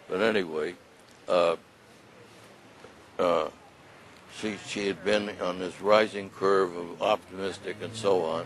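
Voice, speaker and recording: A man's monotone, flat intonation at a fairly slow pace, with long, frequent pauses and noticeable background noise. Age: 80s+. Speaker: elderly widower sharing healthcare experience. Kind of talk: testimony. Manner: halting.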